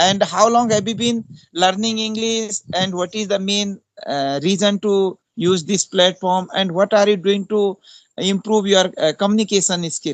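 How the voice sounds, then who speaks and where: A man with an Indian accent speaks in a high pitch with fairly even intonation, the sound dry and close with no echo. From India, Uttarakhand (Pauri Garhwal). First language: Hindi. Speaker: English teacher. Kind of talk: casual chat. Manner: halting.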